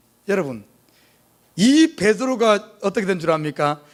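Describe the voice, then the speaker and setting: In a Jeolla accent, a man speaks in an animated tone with very wide pitch swings. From South Korea, Jeolla region (Gwangju). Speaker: pastor. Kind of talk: sermon. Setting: church.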